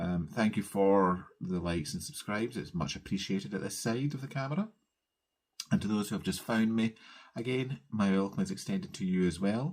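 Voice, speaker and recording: A man in a Scottish accent, fairly low-pitched, with lively intonation and a fairly quick pace. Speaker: cross-stitch vlogger. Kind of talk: casual craft vlog chat. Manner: fast.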